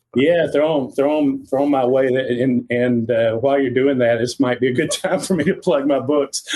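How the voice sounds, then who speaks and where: A man with a slight Southern US accent and a dark, mellow tone talks at a moderate pace with hardly any pauses. His intonation is fairly even and his loudness very even. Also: medium pitch for a man. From Tennessee. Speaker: fishing author and guide. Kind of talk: podcast interview.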